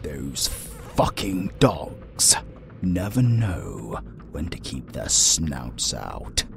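A man puts on a character voice and speaks at a very slow pace. Loud background noise runs through the clip. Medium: audio drama. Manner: formal, measured, haughty.

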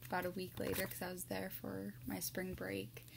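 A woman's voice over noticeable background noise. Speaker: ASMR creator. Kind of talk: casual talk to camera. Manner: normal speaking voice, not whispered. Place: home room. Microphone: webcam.

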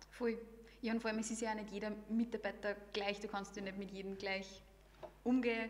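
A woman speaks at a fairly quick pace, with long, frequent pauses. Her pitch is fairly high, her intonation is monotone and flat, and there is light background noise. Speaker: podcast host. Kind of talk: casual interview. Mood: friendly, cheerful. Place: meeting room. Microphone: studio mic.

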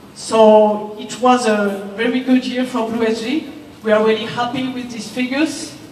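Light background noise and audible room echo surround a woman speaking with fairly even intonation. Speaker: presenter. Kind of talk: corporate presentation speech. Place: hall. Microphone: pa.

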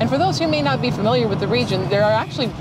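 The sound is dry with no echo. Music plays in the background. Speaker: travel vlogger. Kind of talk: travel commentary. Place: car. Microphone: lapel.

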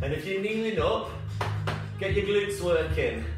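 A man is heard with audible room echo. Clear music plays in the background. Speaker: fitness instructor. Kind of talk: exercise class instruction. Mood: upbeat, encouraging. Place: home room. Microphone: camera far.

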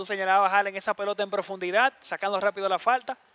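A man's raised, projected voice, high in pitch and fairly quick, with a dry, close sound and no echo. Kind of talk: live sports commentary, co-commentator analysis. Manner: measured, explanatory, conversational.

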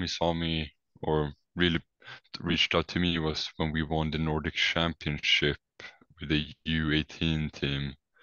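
In a Swedish accent, a man speaks with a very deep, low pitch and monotone, flat intonation. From Sweden. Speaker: college basketball player. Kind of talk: casual interview.

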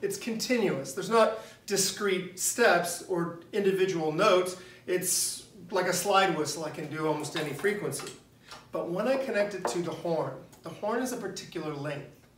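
The speaker talks at a moderate pace with ordinary pitch variation. Noticeable noise sits in the background. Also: man, high pitch for a man. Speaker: teacher. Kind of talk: lecture. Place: classroom. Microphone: camera far.

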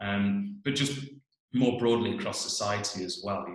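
A speaker with a British accent talks at a moderate pace against a quiet background, with audible room echo. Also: man. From England. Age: 40s. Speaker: geoscience professor. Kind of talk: personal presentation. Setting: video call. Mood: thoughtful, earnest. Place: home room. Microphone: webcam.

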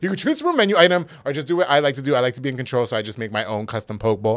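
A man talks at a very fast pace in an animated tone against a quiet background. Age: 30s. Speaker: podcast host and former radio DJ; podcast host, former radio DJ. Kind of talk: casual interview chat. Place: studio. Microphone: studio mic.

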